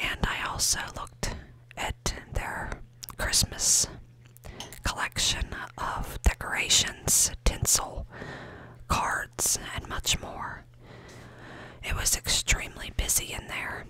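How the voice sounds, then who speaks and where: Whispering very slowly, a woman sounds breathy, leaving long, frequent pauses over noticeable background noise. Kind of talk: ASMR shop-with-me ramble to camera. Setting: shop. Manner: breathy whisper, soft-spoken.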